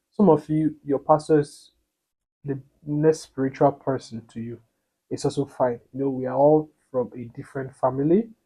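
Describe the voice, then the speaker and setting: A man with a non-native accent speaks at a fairly high pitch in a dark, mellow tone, his loudness swinging widely while his pitch varies in an ordinary way. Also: moderate pace. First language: not English. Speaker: couples vlogger. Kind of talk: casual storytelling to camera. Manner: halting, with many repetitions.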